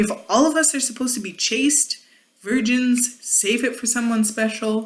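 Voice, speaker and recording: A high-pitched woman is speaking. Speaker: YouTube commentary vlogger. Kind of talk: casual monologue vlog. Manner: rambling, hesitant.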